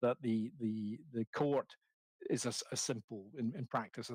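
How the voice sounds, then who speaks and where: A man talks at a moderate pace and medium pitch in a dry, close sound with no echo. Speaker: legal expert presenting a report. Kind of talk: hearing presentation. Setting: committee hearing. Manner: halting, with many repetitions.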